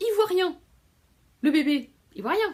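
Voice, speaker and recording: Here a woman speaks at a fairly slow pace. The recording is very clean and the background silent. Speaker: book vlogger. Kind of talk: casual vlog talk. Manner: hesitant with many fillers.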